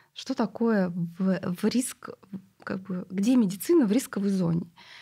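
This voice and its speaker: Against a quiet background, a woman speaks with medium pitch, ordinary pitch variation, a somewhat breathy voice, and a dark, mellow tone. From Siberia, Russia. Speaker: clinic CEO; guest. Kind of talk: casual chat. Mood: calm, reflective. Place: studio. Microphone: studio mic.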